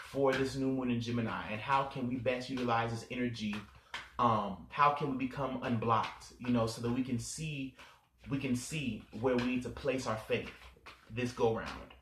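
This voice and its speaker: A man at a medium pitch and moderate pace, with audible room echo and noticeable background noise. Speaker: astrology and tarot channel host. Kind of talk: spiritual tarot reading monologue. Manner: halting, with fillers.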